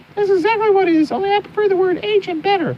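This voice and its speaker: In a put-on character voice, a female-sounding woman squeaks along at a very fast pace with extremely high pitch. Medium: solo performance. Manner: mysterious, intense.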